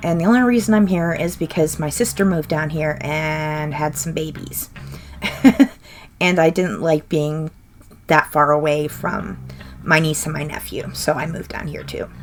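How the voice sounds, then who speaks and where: With music in the background, a woman in an American accent speaks at a moderate pace, her pitch very deep and low with ordinary pitch variation. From US Midwest, Minnesota. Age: 30s. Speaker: gaming YouTuber. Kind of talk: casual Q&A voice-over.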